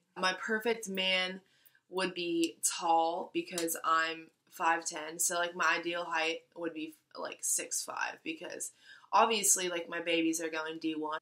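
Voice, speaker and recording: A woman with an American accent speaks at a fairly low pitch. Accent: slight country accent, stronger when excited. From US South, Florida and North Carolina. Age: 20s. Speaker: beauty and fashion vlogger. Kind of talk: casual Q&A vlog.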